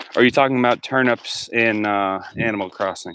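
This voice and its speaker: This man's voice has a bright, sharp tone at a medium pitch. He speaks loud, with ordinary pitch variation. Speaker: livestreamer. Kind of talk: casual chat. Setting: outdoors.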